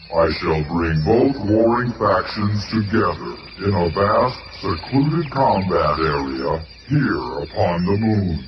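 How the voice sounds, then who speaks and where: Using a put-on character voice, a man talks at a fairly slow pace with a fairly low pitch, with slight echo and light background noise. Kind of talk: 1970s radio drama. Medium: audio drama. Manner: grave, formal, measured.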